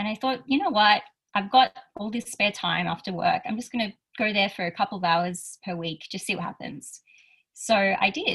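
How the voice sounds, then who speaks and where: This woman has an Australian accent. She talks at a moderate pace. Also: medium pitch for a woman, ordinary pitch variation. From rural Australia. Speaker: youth advocate and speaker. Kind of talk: interview conversation.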